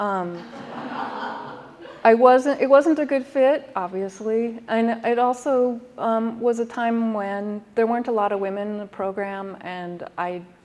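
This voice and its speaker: Against noticeable background noise, a woman speaks slowly-ish at a fairly high pitch, with ordinary pitch variation and big swings in loudness. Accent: American. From Minnesota. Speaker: artist and designer. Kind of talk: artist talk. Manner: hesitant, many ums.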